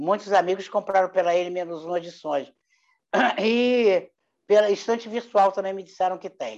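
Her voice sits at medium pitch with a dark, mellow tone. The woman speaks at a fairly slow pace with fairly even intonation. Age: 80s+. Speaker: human rights activist and retired psychology professor. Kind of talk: interview, personal testimony. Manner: halting, with frequent repetitions.

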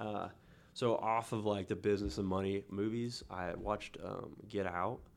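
A man with a fairly low pitch speaks in a Midwestern American accent. His intonation stays fairly even at a moderate pace. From Kansas, Newton. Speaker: author and electrician. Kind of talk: casual interview.

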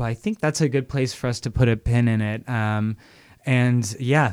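An ordinary speaking voice from a man, medium in pitch, moderate in pace, fairly even in intonation, in a very clean recording with a silent background. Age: 30s. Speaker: radio host. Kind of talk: casual chat. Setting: home studio.

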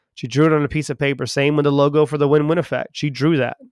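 Very fast and energetic, a man with a Southern US accent and a fairly high pitch speaks in a dry, close sound with no echo, recorded very cleanly against a silent background. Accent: Southern US, now living in England. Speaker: podcast host and sales trainer. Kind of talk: casual conversational discussion about sales psychology. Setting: lives in London, England. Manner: fast talker, energetic.

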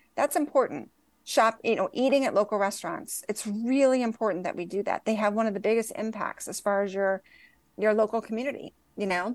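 With an ordinary speaking voice and ordinary pitch variation, a woman talks at a fairly quick pace and a fairly high pitch over a quiet background. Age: 50s. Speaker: cannabis company CEO. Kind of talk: casual chat.

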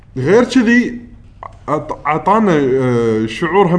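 A man with a fairly high-pitched voice. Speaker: podcast co-host. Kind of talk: casual chat.

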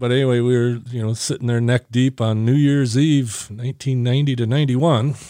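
In a dark, mellow tone, a man speaks at a moderate pace with hardly any pauses and a monotone, flat intonation. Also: medium pitch for a man. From US Midwest, Northern Michigan. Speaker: military veteran. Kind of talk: casual interview. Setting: video call.

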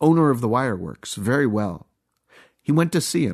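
Over a quiet background, a man with a plain, everyday voice talks at medium pitch with lively intonation. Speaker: podcast narrator reading Masonic bulletin. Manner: measured, formal, earnest.

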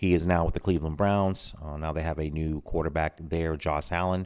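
A man's very deep, low voice with an American accent and monotone, flat intonation, on a very clean recording with a silent background. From Tampa, Florida. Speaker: podcast host. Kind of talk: solo commentary. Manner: casual, frequent fillers.

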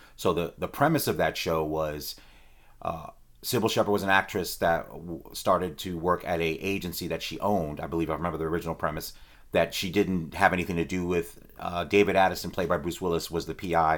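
A man with a very deep, low voice speaks at a fairly quick pace and with fairly even intonation, on a very clean recording with a silent background. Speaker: movie podcast host and reviewer. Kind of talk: solo movie review monologue. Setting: recorded live while streaming.

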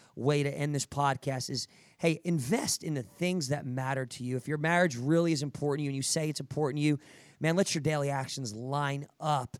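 An animated man with an American accent, fairly high in pitch and fairly quick in pace, in a dry, close sound with no echo and a very clean recording with a silent background. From New Jersey, US. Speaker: podcast host and fitness coach for first responders. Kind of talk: motivational podcast interview.

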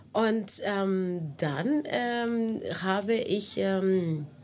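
With a Spanish accent, a woman talks at a medium pitch using lively intonation. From Cuba. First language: Spanish (speaking German). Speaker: singer and lecturer. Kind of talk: casual interview. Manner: hesitant with fillers.

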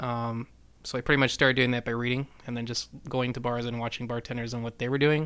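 Speaking at a very fast pace, a man talks at a medium pitch. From New Mexico. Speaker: bartender. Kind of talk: casual chat.

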